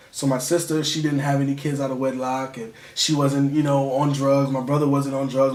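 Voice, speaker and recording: A man with a fairly high pitch talks at a very fast pace, with hardly any pauses. There is noticeable background noise. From Connecticut (New Haven), moved to Virginia at about nine. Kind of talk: interview. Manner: casual, animated.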